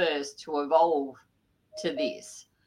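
A woman with an Australian accent speaks in a very deep, low voice. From Sydney area, New South Wales, Australia. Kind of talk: interview. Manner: hesitant, many fillers.

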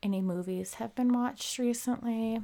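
Speaking with an American accent, a woman has a dark, mellow tone and ordinary pitch variation on a very clean recording with a silent background. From Minnesota, US Midwest. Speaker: true crime podcaster. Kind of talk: casual solo podcast narration with humor. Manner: humorous, casual, filler-heavy.

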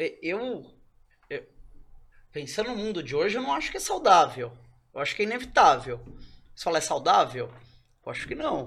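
A man speaks at a high pitch with very wide pitch swings. His loudness swings widely, and he leaves long, frequent pauses. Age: 30s. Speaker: NFT company co-founder. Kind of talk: casual chat. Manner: fast.

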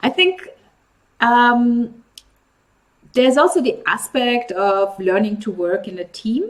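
A woman with a high pitch speaks at a very slow pace, leaving long, frequent pauses. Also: lively intonation. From Nigeria. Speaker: vlog host. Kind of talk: interview.

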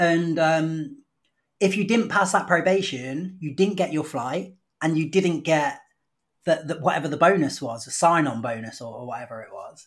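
Over a very clean recording with a silent background, a man with a British accent and a fairly high pitch speaks at a moderate pace, with ordinary pitch variation and big swings in loudness. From United Kingdom. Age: 30s. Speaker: English teacher. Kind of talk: casual chat.

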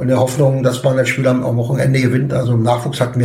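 A voice in a monotone, flat intonation runs at a very fast pace, with audible room echo and noticeable background noise. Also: man. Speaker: football coach. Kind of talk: casual interview. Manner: hesitant with fillers.

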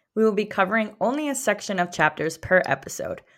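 In a very clean recording with a silent background, a woman talks at a fairly quick pace with a medium pitch and lively intonation. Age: 30s. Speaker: book podcast co-host. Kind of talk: casual chat.

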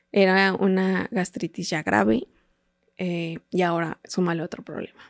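The speaker talks at a fairly slow pace with a central Mexican accent. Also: woman, fairly low pitch for a woman, ordinary pitch variation. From Mexico, State of Mexico. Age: 30s. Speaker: patient with a rare disease. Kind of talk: testimony. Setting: studio.

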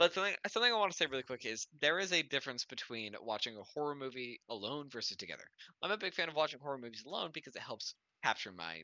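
This man talks at a very fast pace with an animated tone. His fairly high voice makes very wide pitch swings. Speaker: podcast co-host. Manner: animated, swears casually.

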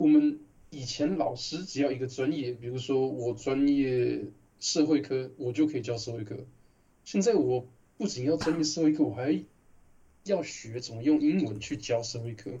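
A man with a somewhat breathy, dark, mellow tone speaks at a medium pitch and moderate pace, with ordinary pitch variation. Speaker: translator and podcast co-host. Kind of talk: casual chat.

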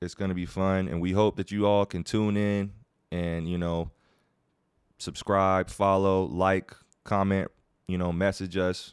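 A man with an American accent speaks at a fairly slow pace in a very deep, low, monotone voice, leaving long, frequent pauses. The sound is dry and close with no echo, on a very clean recording with a silent background. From Virginia. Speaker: professional basketball player and podcast co-host. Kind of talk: casual chat.

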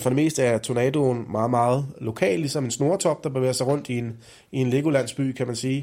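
This man has an ordinary speaking voice, medium in pitch with ordinary pitch variation. He talks at a moderate pace on a very clean recording with a silent background. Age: 40s. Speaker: meteorologist. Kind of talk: explanatory interview for children.

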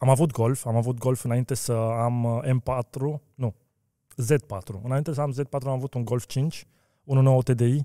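Very slow and fairly even in intonation, the voice has a dark, mellow tone, heard dry and close with no echo on a very clean recording with a silent background. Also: man, medium pitch for a man. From Romania (Brașov), then Austria from age seven. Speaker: car wheel business owner. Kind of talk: interview.

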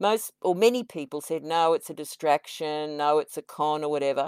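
An enthusiastic woman with an Australian accent, a very deep, low pitch and ordinary pitch variation, fairly quick in pace, in a dry, close sound with no echo and a very clean recording with a silent background. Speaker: podcast co-host. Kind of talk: interview.

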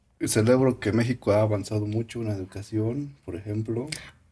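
In a very clean recording with a silent background, a man with a fairly low pitch and a dark, mellow, somewhat breathy tone speaks with fairly even intonation. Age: young. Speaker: podcast co-host. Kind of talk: casual chat.

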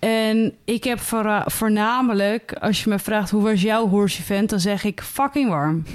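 Very slowly and at a very even loudness, a woman speaks at a fairly high pitch with ordinary pitch variation. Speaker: podcast co-host. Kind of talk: casual chat.

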